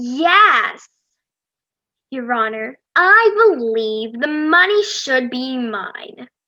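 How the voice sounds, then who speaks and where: In a put-on character voice, a woman speaks very slowly at a high pitch with very wide pitch swings. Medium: stage play. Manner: petulant.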